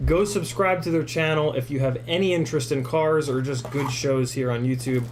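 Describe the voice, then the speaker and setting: There is noticeable background noise and audible room echo around this man. He talks at a moderate pace with ordinary pitch variation. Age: 30s. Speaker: FPV drone YouTuber and livestreamer. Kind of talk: casual livestream Q&A and unboxing. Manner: casual, filler-heavy with many ums and uhs.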